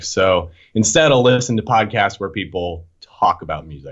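A man with a plain, everyday voice and an American accent speaks at a moderate pace with ordinary pitch variation. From Boston area. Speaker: hardcore punk musician. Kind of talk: casual chat.

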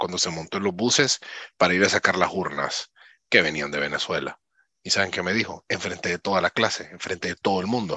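A man's fairly low voice with a bright, sharp tone at a fairly quick pace, dry and close with no echo over a quiet background. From Honduras. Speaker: conference speaker sharing personal testimony. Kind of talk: interview with personal testimony.

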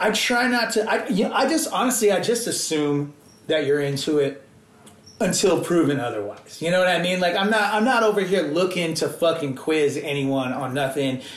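A man talks at a moderate pace with a high pitch and lively intonation. The room echo is audible. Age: 30s. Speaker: hardcore/punk musician. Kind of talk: casual chat.

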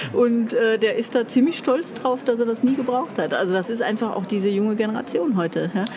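A woman's fairly high voice at a fairly quick clip, hardly any pauses, with noticeable background noise. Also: ordinary pitch variation. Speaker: publishing coach. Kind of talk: casual chat. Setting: book fair.

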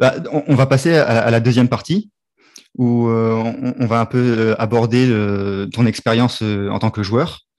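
A man's medium-pitched voice at a fairly slow pace, with fairly even intonation, on a very clean recording with a silent background. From Réunion. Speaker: podcast host. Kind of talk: casual interview. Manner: halting, repeats words.

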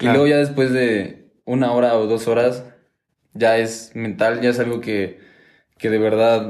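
A man with a Mexican accent, medium pitch, fairly even intonation and a fairly slow pace, plus audible room echo. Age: 20s. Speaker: engineering student and hip hop dancer. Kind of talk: casual interview chat.

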